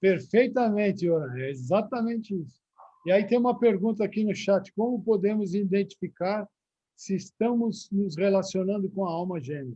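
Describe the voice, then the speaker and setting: A man's high-pitched voice moves at a moderate pace, varying in pitch in an ordinary way. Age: 60s. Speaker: religious teacher. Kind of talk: live-streamed religious talk with Q&A.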